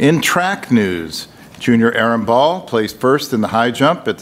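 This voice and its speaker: He keeps a moderate pace. The voice belongs to a man. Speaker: board member giving a report. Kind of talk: formal report reading. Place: meeting room. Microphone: podium.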